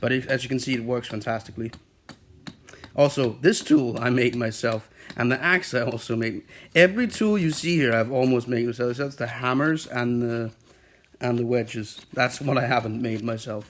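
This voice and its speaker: Male voice with a non-native accent, medium pitch, ordinary pitch variation, and a moderate pace. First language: not English. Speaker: woodworking craftsman. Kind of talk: tutorial. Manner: halting.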